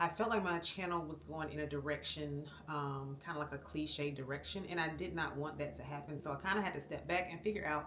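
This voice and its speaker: Speaking at a moderate pace with an American accent, this voice comes through audible room echo and noticeable background noise. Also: woman. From Florida. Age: 40s. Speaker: vlogger, army veteran. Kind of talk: casual vlog talk to camera. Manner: conversational, many fillers (um).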